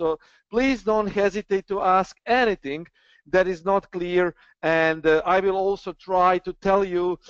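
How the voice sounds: A man's clear, smooth, high-pitched voice at a fairly slow pace, with fairly even intonation and a dry, close sound with no echo.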